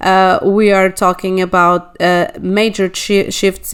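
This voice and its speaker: In a Portuguese accent, a woman at a medium pitch speaks at a fairly slow pace with monotone, flat intonation. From Portugal. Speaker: astrologer. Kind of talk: monologue video. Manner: halting, many fillers.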